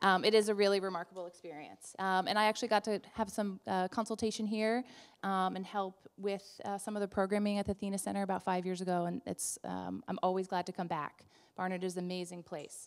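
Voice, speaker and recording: A woman with a New Jersey accent, flat and monotone, at a fairly quick pace against a quiet background. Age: 30s. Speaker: event introducer, nonprofit director. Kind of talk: event introduction speech. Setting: live event audience. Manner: loud, projecting. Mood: warm, enthusiastic. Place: hall. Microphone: handheld.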